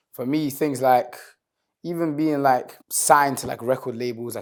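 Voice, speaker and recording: The recording is very clean with a silent background as a man talks at a fairly quick pace in a plain, everyday voice with ordinary pitch variation. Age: 20s. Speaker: singer and rapper. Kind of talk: interview. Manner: casual, relaxed.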